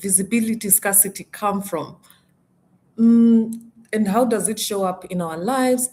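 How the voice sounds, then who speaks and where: A woman speaks at a moderate pace with a medium pitch and a somewhat breathy, dark, mellow tone. Her intonation stays fairly even, broken by long, frequent pauses. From Kenya. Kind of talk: live stream talk. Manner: halting, with self-corrections.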